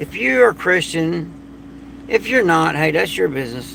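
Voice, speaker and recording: A voice in a Southern US accent with very wide pitch swings. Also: man. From Florida. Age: 50s. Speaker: prepper and survival channel host. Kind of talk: late-night livestream monologue. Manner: casual, repetitive.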